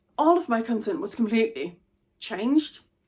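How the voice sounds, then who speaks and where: Speaking fairly slowly at a fairly high pitch, a woman with a Danish accent is heard in a very clean recording with a silent background. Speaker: intellectual property advisor. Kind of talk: vlog monologue. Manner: stumbles over words.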